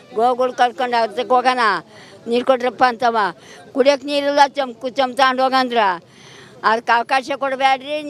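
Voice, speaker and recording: A woman's high-pitched voice in a flat monotone. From Tiptur taluk, Karnataka. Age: 80s+. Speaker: farmer protester. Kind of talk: interview answer at a protest. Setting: outdoors. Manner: defiant, emotional.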